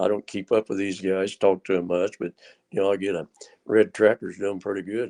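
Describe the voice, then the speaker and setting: A man's fairly low, dark, mellow voice with monotone, flat intonation over a quiet background. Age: 80s+. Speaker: retired tractor puller. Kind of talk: casual chat. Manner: halting.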